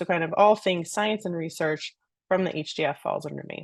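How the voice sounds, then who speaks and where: This woman has a plain, everyday voice, fairly low in pitch with ordinary pitch variation, and she talks at a fairly quick pace. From US Northeast (New York City). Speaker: research program director, scientist. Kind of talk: panel Q&A, introducing herself.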